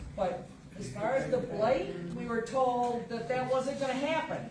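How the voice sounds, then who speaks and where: At a moderate pace, a woman speaks with a fairly high pitch. Audible room echo and noticeable background noise fill the recording. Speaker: resident speaking at public comment. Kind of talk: public comment at township meeting. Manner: loud.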